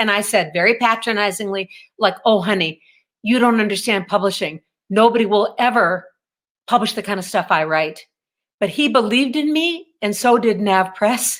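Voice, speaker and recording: At a moderate pace, a woman speaks in an ordinary speaking voice at a medium pitch with ordinary pitch variation. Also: very clean recording, silent background. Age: 60s. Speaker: author. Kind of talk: interview.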